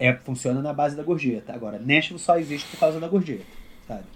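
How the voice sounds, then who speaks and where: A man with a Rio de Janeiro accent talks at a very fast pace and a fairly high pitch, with long, frequent pauses, ordinary pitch variation and big swings in loudness. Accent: Rio de Janeiro (carioca). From Brasília, Brazil. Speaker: country guitarist. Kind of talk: casual interview.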